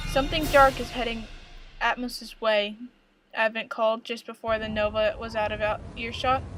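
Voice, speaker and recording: A woman speaks at a moderate pace with fairly even intonation. She leaves long, frequent pauses while music plays in the background. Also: fairly high pitch for a woman. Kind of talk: audiobook-style story reading. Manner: stuttering, first-time reader.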